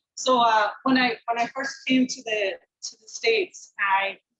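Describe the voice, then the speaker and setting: The speaker talks at a fairly slow pace. The accent is American. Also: woman. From Scotland. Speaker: business continuity software leader. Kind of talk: conference talk.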